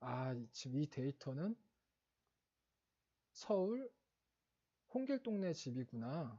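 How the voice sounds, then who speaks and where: A man with a dark, mellow tone speaks at a very slow pace, leaving long, frequent pauses. His voice is somewhat breathy and makes very wide pitch swings. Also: fairly high pitch for a man. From Seoul, South Korea. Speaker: exam prep instructor. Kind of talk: lecture. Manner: halting, many fillers and self-corrections.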